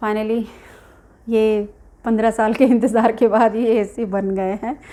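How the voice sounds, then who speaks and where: A woman's fairly high voice stays in a flat monotone. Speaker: vlogger. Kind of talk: casual vlog talk. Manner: halting.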